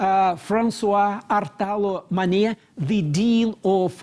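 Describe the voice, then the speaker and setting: A man speaks in a high pitch with a dark, mellow tone. He has a strong Moscow accent. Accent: strong Russian (Muscovite). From Russia, Moscow. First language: Russian. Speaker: moderator, university vice rector. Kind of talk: panel discussion moderation. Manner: halting, repeats words.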